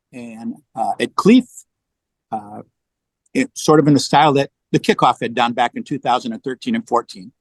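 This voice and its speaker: This man has a fairly high pitch and an American accent, and his intonation is lively. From US West Coast, San Diego. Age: 60s. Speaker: long-distance hiker and trail angel. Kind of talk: podcast interview.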